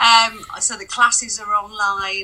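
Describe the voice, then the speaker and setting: Noticeable background noise behind a woman's voice. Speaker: sex shop founder. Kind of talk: interview answers.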